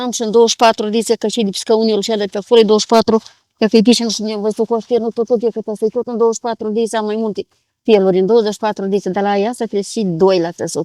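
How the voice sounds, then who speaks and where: In a dry, close recording with no echo, a woman with a fairly high pitch and a dark, mellow tone speaks very fast in a flat monotone. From Moldova, Ialoveni area. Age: 70s. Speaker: village craftswoman, weaver. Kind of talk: interview. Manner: halting.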